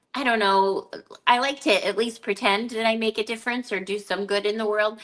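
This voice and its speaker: A woman with a normal speaking voice talks at a moderate pace in a fairly high pitch, her intonation fairly even over a quiet background. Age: 60s. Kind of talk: casual chat. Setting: live video stream.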